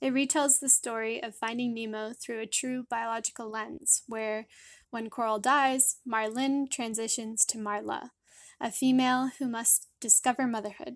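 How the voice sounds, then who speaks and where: A woman with an unremarkable speaking voice and fairly high pitch talks at a moderate pace with fairly even intonation on a very clean recording with a silent background. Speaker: graduate student and science illustrator. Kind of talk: recorded promotional message. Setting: voice memo recording.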